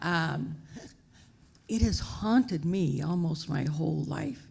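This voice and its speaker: A woman's fairly low, dark, mellow voice with vocal fry and lively intonation. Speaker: business executive, panelist. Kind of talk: panel discussion. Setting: stage with audience.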